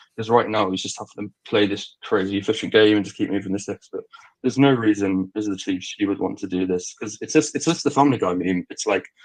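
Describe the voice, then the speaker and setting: A man talks at a very fast pace. His voice sits fairly low in pitch. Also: ordinary pitch variation. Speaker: football podcast co-host. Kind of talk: casual chat.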